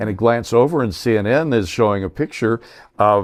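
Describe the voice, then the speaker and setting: A man with a medium-pitched voice and an American accent speaks with ordinary pitch variation in a plain, everyday voice. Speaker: veteran radio broadcaster. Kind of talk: interview answer, storytelling. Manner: conversational, professional radio voice.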